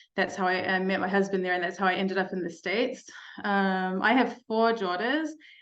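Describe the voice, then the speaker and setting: In a room with audible echo, a woman with a New Zealand accent talks at a fairly quick pace. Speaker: mental health speaker, life coach. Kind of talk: keynote talk to parents.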